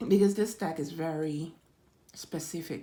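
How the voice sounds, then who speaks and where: A woman speaks with a very deep, low pitch and a dark, mellow tone. Her pace is fairly slow and her intonation fairly even. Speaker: tarot reader. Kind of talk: tarot reading for viewers. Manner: halting, repeats words.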